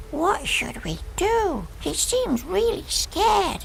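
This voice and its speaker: A put-on character voice comes through at an extremely high pitch and a very slow pace. Clear background noise can be heard. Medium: machinima. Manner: gentle, curious.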